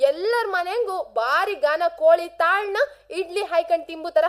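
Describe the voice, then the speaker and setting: A woman's extremely high voice with very wide pitch swings, in a coastal Karnataka accent. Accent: Kundapura Kannada dialect. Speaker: radio host. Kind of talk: radio monologue. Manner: animated.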